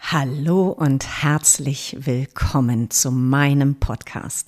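This woman's pitch is very deep and low, with a dark, mellow tone. Her intonation stays fairly even. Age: 50s. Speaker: podcast host. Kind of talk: podcast trailer monologue. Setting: at her kitchen table.

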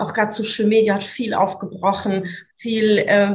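A woman's somewhat breathy voice at medium pitch, fairly slow and monotone with flat intonation, plus audible room echo. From Swabia, southern Germany (Italian roots). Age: 30s. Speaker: business coach. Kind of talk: interview conversation.

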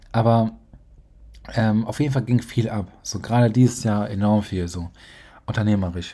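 In a very clean recording with a silent background, a man with a dark, mellow tone and fairly low pitch talks at a moderate pace, using fairly even intonation and long, frequent pauses. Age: 20s. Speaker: podcast host, young entrepreneur. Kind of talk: solo podcast monologue. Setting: home office at desk.

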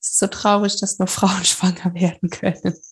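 The speaker delivers lines at a moderate pace in a monotone, flat intonation, sounding somewhat breathy. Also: woman. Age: 30s. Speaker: psychology graduate and coach, former addict. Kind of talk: casual interview about addiction recovery.

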